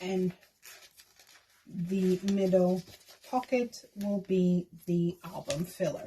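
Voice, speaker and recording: A woman speaks at a very slow pace in a medium pitch with a non-native accent. Background noise is noticeable. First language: not English. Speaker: K-pop fan vlogger. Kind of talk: casual tutorial. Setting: at home desk.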